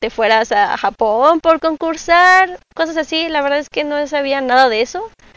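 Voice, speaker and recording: A woman's fairly slow speech with ordinary pitch variation, in a dry, close recording with no echo. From Mexico City. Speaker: cosplayer. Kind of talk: casual monologue.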